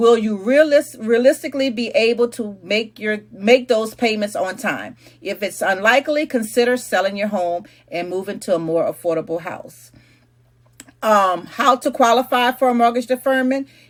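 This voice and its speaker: This woman has a plain, everyday voice with a fairly high pitch. She keeps a moderate pace with ordinary pitch variation. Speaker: realtor. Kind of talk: explainer monologue.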